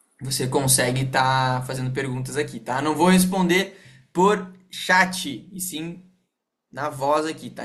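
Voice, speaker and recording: Audible room echo around a man's fairly high voice, fairly slow in pace, with ordinary pitch variation. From Rio Grande do Sul, Brazil (Porto Alegre). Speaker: sales team leader. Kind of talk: online team meeting / training. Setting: video call. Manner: casual, animated.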